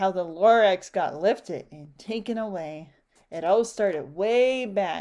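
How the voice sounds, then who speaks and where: A put-on character voice from a woman, nasal and medium-pitched, at a fairly slow pace with ordinary pitch variation. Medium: read story.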